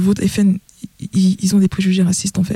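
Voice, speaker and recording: A woman talks in a medium pitch. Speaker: DJ and festival organizer. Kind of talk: radio panel discussion. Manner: halting.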